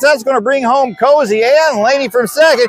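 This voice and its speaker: An extremely high-pitched male voice with ordinary pitch variation amid noticeable background noise. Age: 50s. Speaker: softball game livestream commentator. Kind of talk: live commentary. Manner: animated.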